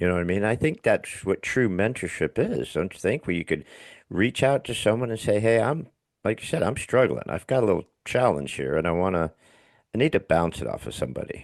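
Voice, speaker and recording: A man with a fairly low pitch, vocal fry and very wide pitch swings talks fairly quickly, recorded dry and close with no echo against a quiet background. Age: 60s. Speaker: podcast host. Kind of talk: casual chat.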